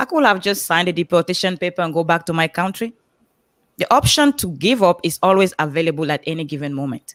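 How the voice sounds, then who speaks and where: Recorded dry and close with no echo, a woman with a Cameroonian accent talks at a very fast pace with a fairly low pitch. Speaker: motivational speaker on a coaching panel. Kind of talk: panel livestream talk, personal story.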